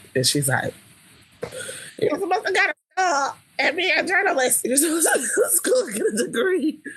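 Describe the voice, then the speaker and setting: An animated woman's extremely high voice with very wide pitch swings, a fairly quick pace and long, frequent pauses. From Los Angeles, Leimert Park. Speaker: singer and songwriter. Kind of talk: interview.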